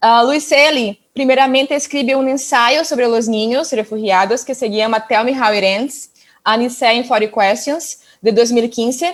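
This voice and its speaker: Speaking at a fairly slow pace, a woman with a Portuguese accent uses a high pitch and ordinary pitch variation. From northern Brazil, Amazon region. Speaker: doctoral researcher presenting at conference. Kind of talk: conference presentation. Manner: halting.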